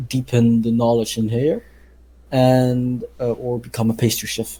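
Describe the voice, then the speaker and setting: A man with a Dutch accent speaks at a fairly slow pace in a medium pitch and a monotone, flat intonation. His voice is somewhat breathy, with a dark, mellow tone. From Netherlands. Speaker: podcast co-host, pastry chef. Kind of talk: casual chat. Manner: halting, many fillers.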